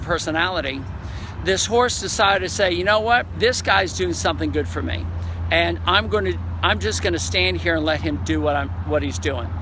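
The speech moves at a fairly quick pace against noticeable background noise. The sound is dry with no echo. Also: man. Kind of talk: casual vlog chat. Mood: moved, enthusiastic. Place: waterside. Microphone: phone near.

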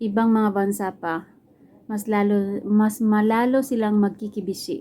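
A woman's dark, mellow voice sits at medium pitch with fairly even intonation. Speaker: vlogger. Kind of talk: casual vlog talk. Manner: chatty, casual.

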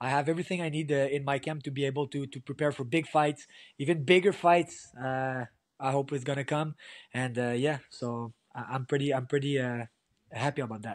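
Fairly high in pitch, a man talks at a fairly quick pace with fairly even intonation, the sound dry with no echo over a quiet background. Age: 30s. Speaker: MMA fighter; guest. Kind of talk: post-fight interview. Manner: halting, repetitive. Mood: relaxed, content. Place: home room. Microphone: video call.

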